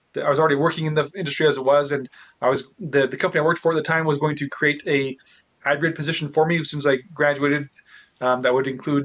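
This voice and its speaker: A man mumbles at a very fast pace, his fairly high voice held in a monotone, flat intonation. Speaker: real estate investor. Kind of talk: interview. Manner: stutters and mumbles.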